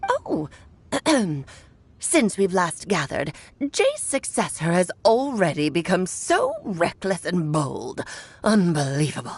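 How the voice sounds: A woman's put-on character voice, medium in pitch, at a fairly slow pace with long, frequent pauses.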